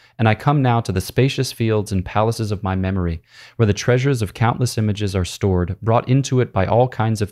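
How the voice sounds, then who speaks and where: Over a very clean recording with a silent background, a man with a fairly low voice talks at a very fast pace with hardly any pauses. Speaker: priest and podcast host. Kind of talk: literary audiobook reading of Augustine, solemn and prayerful, then casual commentary. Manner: measured, reverent reading pace, meditative; conversational, explanatory, with filler words and laughs.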